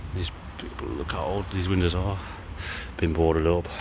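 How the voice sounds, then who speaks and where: Noticeable background noise sits behind a man with a very deep, low pitch. He talks at a moderate pace. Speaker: urban explorer vlogger. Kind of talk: casual vlog chat. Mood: curious, slightly nervous. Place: street. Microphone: phone near.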